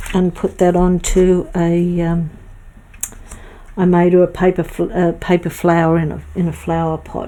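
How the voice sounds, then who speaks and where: At a moderate pace, a woman with an Australian accent talks in a flat monotone at a fairly low pitch. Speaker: craft streamer. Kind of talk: casual chat. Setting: live stream.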